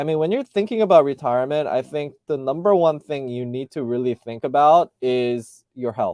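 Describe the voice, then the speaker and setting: In an American accent, a man with a fairly high voice and a dark, mellow tone talks at a moderate pace with ordinary pitch variation and hardly any pauses, the sound dry and close with no echo. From US, Southern California. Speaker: YouTube vlogger. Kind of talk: casual live stream Q&A. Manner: hesitant, many fillers and repeats.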